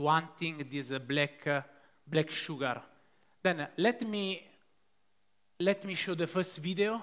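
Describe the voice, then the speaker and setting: In an Italian accent, a man with a fairly high pitch and a bright, sharp tone talks at a fairly slow pace with ordinary pitch variation. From Italy. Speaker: pastry chef; presenter. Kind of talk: live cooking demonstration. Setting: stage with audience. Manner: halting, many fillers. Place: stage. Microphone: headset.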